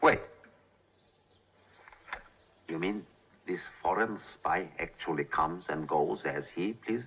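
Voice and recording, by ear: A man puts on a character voice in a Russian accent, low in pitch with a fairly bright tone, a slightly husky edge and vocal fry. He speaks at a slow pace with ordinary pitch variation and long, frequent pauses.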